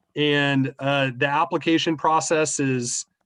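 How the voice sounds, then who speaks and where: With a quiet background, a man talks in an ordinary speaking voice. His pitch is fairly high, and his intonation is fairly even. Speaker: school staff presenter. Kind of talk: information session Q&A. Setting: video call.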